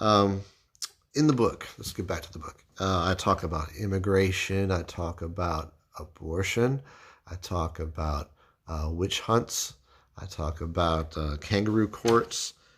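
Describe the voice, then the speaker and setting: A man with a very deep, low, somewhat breathy voice speaks with ordinary pitch variation and big swings in loudness. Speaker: political commentator and author. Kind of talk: casual vlog monologue. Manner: halting.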